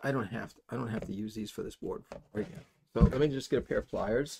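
At a moderate pace, a man speaks with fairly low pitch, ordinary pitch variation, vocal fry and a slightly husky edge.

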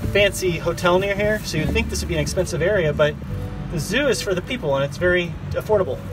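Over music in the background, a man talks very fast, and the sound is dry with no echo. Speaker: vlogger. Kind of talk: casual vlog chat. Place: boat. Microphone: phone near.

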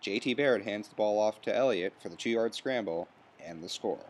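The delivery is fairly quick, with ordinary pitch variation. It is a plain, everyday voice. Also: man. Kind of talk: sports recap narration. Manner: brisk, clipped play-by-play delivery; formal, even broadcaster tone.

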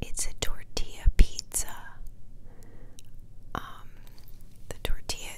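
This is a woman. She is whispering. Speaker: ASMR creator. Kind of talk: casual talk to camera. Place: home room. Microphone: lapel.

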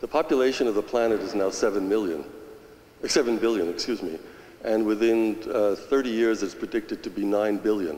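Audible room echo surrounds a man speaking at a moderate pace with ordinary pitch variation. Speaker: audience member. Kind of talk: audience question. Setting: church with audience. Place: church.

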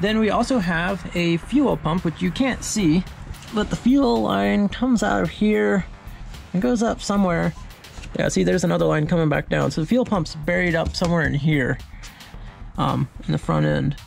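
Faint music plays in the background as a man speaks at a moderate pace with very even loudness. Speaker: small engine repair vlogger. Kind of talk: tutorial. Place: garage. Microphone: phone near.

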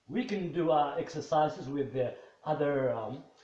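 A man with a Moroccan accent, with audible room echo. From Morocco. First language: Moroccan Arabic. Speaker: English teacher. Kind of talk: lecture. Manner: halting. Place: home room. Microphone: camera far.

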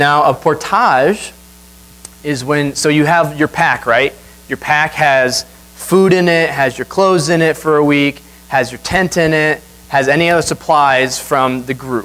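With a plain, everyday voice, a man talks at a fairly high pitch. His pace is fairly slow, and his pitch variation is ordinary. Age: 20s. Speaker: guest preacher. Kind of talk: sermon. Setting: church. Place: church.

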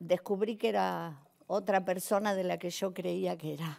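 At a very slow pace, a woman speaks with ordinary pitch variation over a quiet background. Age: 60s. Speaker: actress and comedian; actress, comedian. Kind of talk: personal testimony on a talk show. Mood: emotional, moved. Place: studio. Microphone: lapel.

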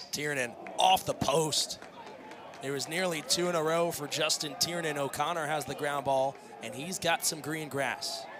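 Ordinary pitch variation at a moderate pace, over noticeable background noise. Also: man, fairly high pitch for a man. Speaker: play-by-play commentator. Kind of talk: live play-by-play lacrosse commentary, calling passes and goals in real time. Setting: stadium broadcast booth.

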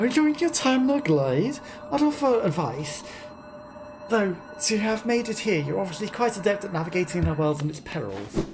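Over clear background noise, a female-sounding put-on character voice at medium pitch moves at a fairly quick pace with very wide pitch swings. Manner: warm, nostalgic.

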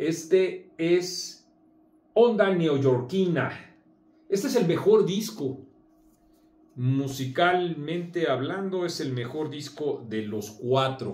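A man at a very slow pace, lively in intonation, with long, frequent pauses and audible room echo. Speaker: magazine commentator. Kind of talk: casual video commentary. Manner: hesitant with many fillers. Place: home room. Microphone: camera far.

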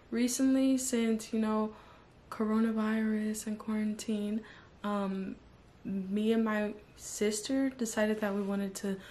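A woman speaks at a moderate pace. Her tone is dark and mellow, and somewhat breathy. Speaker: beauty vlogger. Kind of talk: casual vlog chat. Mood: cheerful, relaxed.

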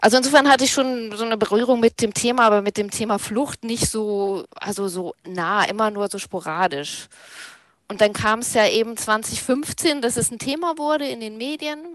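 A woman's fairly high voice, a normal speaking voice, with lively intonation and big swings in loudness at a moderate pace, dry with no echo, over a quiet background. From North Frisia, northern Germany. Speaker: left-wing activist and party official. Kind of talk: interview. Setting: video call.

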